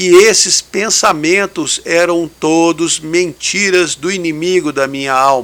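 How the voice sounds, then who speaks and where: Speaking at a very slow pace, a man talks in a high pitch. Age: 60s. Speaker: radio host and lay preacher. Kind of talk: radio devotional talk.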